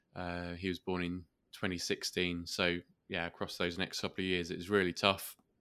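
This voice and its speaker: With a southern English accent, a man speaks at a moderate pace in a very deep, low pitch and a bright, sharp tone, his intonation monotone and flat, in a very clean recording with a silent background. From southeast England, Kent. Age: 30s. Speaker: podcast host and entrepreneur. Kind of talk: interview. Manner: hesitant, many fillers.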